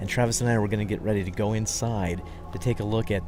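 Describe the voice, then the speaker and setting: A man with a fairly low voice talks at a very fast pace, with audible room echo and music playing in the background. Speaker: podcast host, travel presenter. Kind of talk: on-location tour narration. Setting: inside an ossuary crypt. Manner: hushed, keeping voice down; halting, many fillers.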